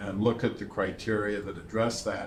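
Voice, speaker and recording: A man's fairly low voice carries with audible room echo. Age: 70s. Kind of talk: interview. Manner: halting, with many fillers.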